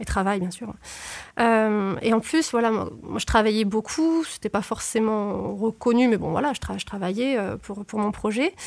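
Using a normal speaking voice, a woman with a fairly high pitch speaks at a fairly slow pace with ordinary pitch variation. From southern France. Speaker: former neuroscience researcher. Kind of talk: interview. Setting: studio.

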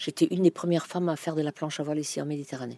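A woman speaks with a very deep, low pitch and a dark, mellow tone, the sound dry and close with no echo. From Germany. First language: German (speaking French). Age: 70s. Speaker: retired language teacher. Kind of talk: interview. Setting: outdoors in garden.

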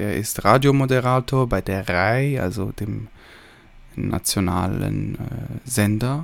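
Pitch rises and falls in an ordinary way as the words come at a very slow pace. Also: man, fairly low pitch for a man. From Switzerland. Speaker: podcast host, film reviewer. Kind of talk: solo film review monologue. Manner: hesitant, many filler sounds.

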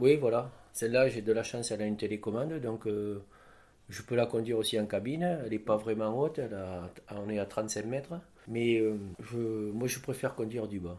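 His tone dark and mellow, a man speaks at a medium pitch and moderate pace with ordinary pitch variation. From southwest France, Lot-et-Garonne. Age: 60s. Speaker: crane operator. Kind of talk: interview.

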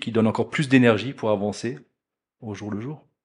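Over a quiet background, a man with an unremarkable speaking voice talks at a moderate pace, with a fairly low pitch and ordinary pitch variation. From Alsace, France. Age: 40s. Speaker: business executive. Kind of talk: interview.

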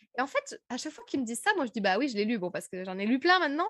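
A woman talks at a very fast pace. Her tone is animated, with very wide pitch swings. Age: 30s. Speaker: podcast host and speaking coach. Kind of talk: interview as guest, casual conversation. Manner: animated, many fillers.

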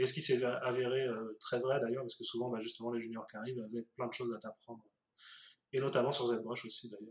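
A man at a medium pitch and fairly quick pace, with monotone, flat intonation. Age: 30s. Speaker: 3D artist. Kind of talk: casual interview.

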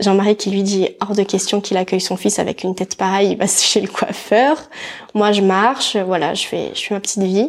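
The speaker is a woman with a medium pitch. She keeps to a moderate pace. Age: 20s. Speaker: mother telling her birth story. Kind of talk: personal testimony interview.

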